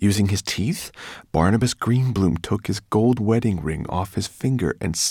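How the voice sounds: This natural reading voice shows ordinary variation in pitch.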